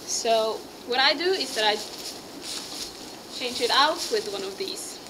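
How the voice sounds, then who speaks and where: With a Norwegian accent, a woman speaks at a fairly slow pace in a high pitch. Her pitch swings very widely, and background noise is noticeable. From Norway. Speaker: horse rider. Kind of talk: casual talk to camera, tack review. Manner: rising intonation, sounds like asking questions.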